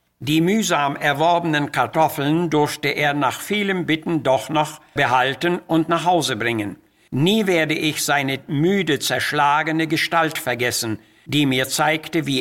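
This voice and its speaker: Speaking very slowly, a man with a fairly high voice keeps his loudness very even and his pitch variation ordinary. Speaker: preacher. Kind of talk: sermon.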